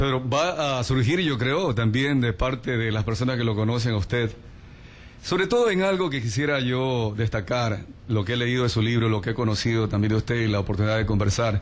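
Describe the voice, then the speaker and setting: A man talks in an ordinary speaking voice at a medium pitch, with ordinary pitch variation. His pace is fairly quick and his loudness very even. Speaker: radio interviewer. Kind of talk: radio interview. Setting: radio studio.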